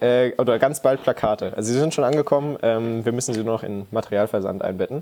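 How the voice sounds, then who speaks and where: This man speaks very fast at a medium pitch, with fairly even intonation and hardly any pauses. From Saxony, Leipzig. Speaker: scout volunteer. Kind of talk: podcast interview.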